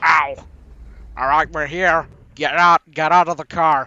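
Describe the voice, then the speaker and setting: A man puts on a character voice, pitched fairly high and delivered fairly slowly. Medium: machinima. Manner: bossy.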